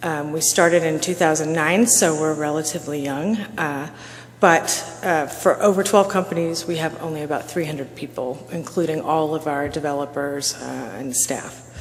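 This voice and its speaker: A soft-spoken voice at a moderate pace with ordinary pitch variation, audible room echo and noticeable background noise. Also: woman, very deep, low pitch for a woman. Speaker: conference speaker. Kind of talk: conference presentation.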